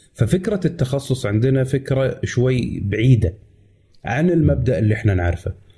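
Somewhat breathy and dark, mellow in tone, a man's medium-pitched voice moves at a moderate pace with lively intonation. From Kuwait. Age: 30s. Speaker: tech YouTuber. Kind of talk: casual chat.

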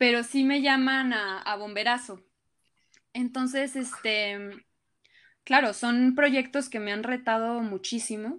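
Very clean and with a silent background, the recording has a woman speaking at a high pitch, at a very slow pace, with long, frequent pauses. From Colombia. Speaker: actress. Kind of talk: casual interview chat.

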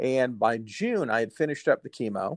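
The sound is dry and close with no echo as a man of medium pitch talks at a moderate pace. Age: 40s. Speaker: TV meteorologist and cancer survivor. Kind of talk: interview, personal story. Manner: hesitant, many fillers and repeats.

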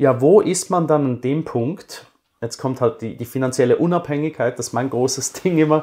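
A normal speaking voice with ordinary pitch variation, a moderate pace and a very clean recording over a silent background. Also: man. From Switzerland. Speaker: finance blogger, former banker. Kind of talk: interview.

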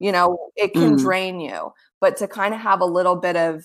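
An unremarkable speaking voice with an American accent moves at a fairly quick pace. The recording is very clean, with a silent background. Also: woman. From South Florida. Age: 30s. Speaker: author and producer. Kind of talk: casual interview.

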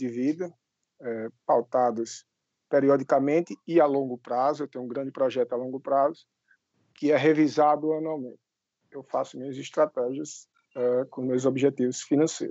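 A man with a fairly high pitch speaks at a moderate pace, broken by long, frequent pauses. His loudness swings widely. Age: 30s. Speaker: financial educator and civil servant. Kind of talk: interview.

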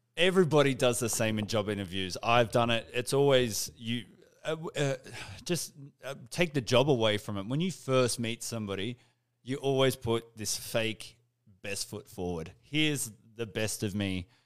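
Speaking with an Australian accent, a man uses lively intonation at a medium pitch. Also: moderate pace. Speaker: podcast host. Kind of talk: casual interview chat. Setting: live stream.

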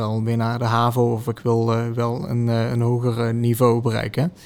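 This is a man talking at a medium pitch. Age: 20s. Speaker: teacher. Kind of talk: interview. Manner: hesitant.

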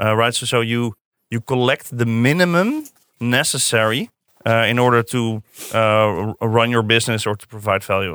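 With a Dutch accent, a man speaks at a moderate pace in a medium-pitched, bright, sharp tone, the sound dry and close with no echo on a very clean recording with a silent background. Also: ordinary pitch variation. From Netherlands, Zeist near Utrecht. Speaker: design director. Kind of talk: podcast interview. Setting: studio.

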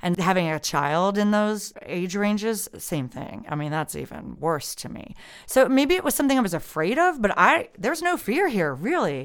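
In an American accent, a woman at medium pitch talks at a moderate pace with hardly any pauses, very wide pitch swings and vocal fry. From United States. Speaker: podcast co-host. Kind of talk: casual chat.

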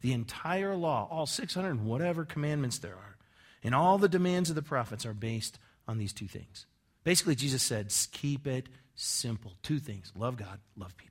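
A man speaks at a moderate pace and a medium pitch, somewhat breathy. His voice shows very wide pitch swings and big swings in loudness. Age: 40s. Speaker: pastor. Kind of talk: sermon. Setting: church. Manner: conversational.

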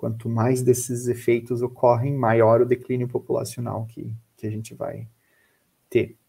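A man speaks at a fairly slow pace in a dark, mellow, somewhat breathy tone, his intonation flat and monotone while his loudness swings widely. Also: medium pitch for a man. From Brazil, Florianópolis (Santa Catarina). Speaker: biologist and researcher. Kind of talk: educational talk. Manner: hesitant, with repeated words.

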